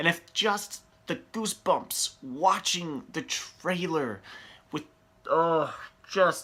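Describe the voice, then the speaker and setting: Speaking at a very slow pace, a man uses a high pitch and a bright, sharp tone. His pitch varies in an ordinary way, and he leaves long, frequent pauses. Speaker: movie reviewer. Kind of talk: casual video talk. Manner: animated.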